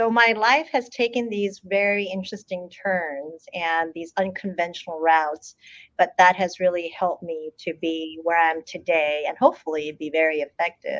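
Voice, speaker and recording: A woman speaks at a moderate pace with ordinary pitch variation. Her pitch sits fairly low. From South Korea, then US from age eight. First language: Korean. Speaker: water agency CEO. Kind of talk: interview. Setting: studio.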